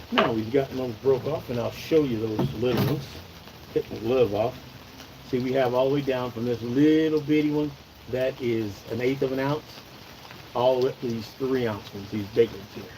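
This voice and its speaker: A man talks with an American accent and fairly even intonation. Noticeable background noise runs underneath. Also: medium pitch for a man, moderate pace. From Oregon. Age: 60s. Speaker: outdoors channel host. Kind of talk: live stream tutorial. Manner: casual, chatty.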